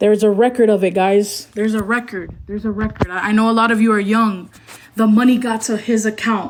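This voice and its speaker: At a moderate pace, a woman speaks in a fairly high, flat, monotone voice. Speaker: former talent manager. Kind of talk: livestream self-defense. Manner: stuttering.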